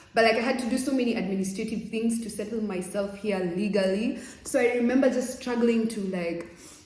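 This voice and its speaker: A woman with fairly high pitch and an animated tone talks at a fairly quick pace amid noticeable background noise and audible room echo. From Kenya. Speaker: vlogger. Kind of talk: casual vlog talk.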